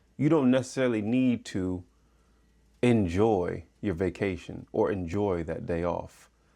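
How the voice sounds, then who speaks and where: Over music in the background, a man talks in a calm tone with lively intonation. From Michigan. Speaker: podcast host. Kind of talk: motivational podcast monologue.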